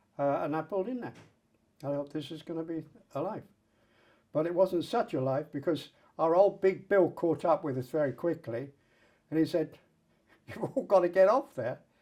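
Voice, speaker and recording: A man with a southern English accent speaks at a moderate pace, his fairly high pitch set in a dark, mellow tone. Long pauses come often. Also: ordinary pitch variation, very clean recording, silent background. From England, Colchester. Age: 80s+. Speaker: Roma rights activist. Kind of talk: oral history interview.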